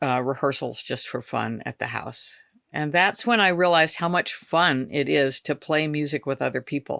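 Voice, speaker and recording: A woman's very deep, low voice with vocal fry and an American accent, at a moderate pace. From California, Bay Area (Berkeley). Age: 70s. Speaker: bluegrass musician. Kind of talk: interview.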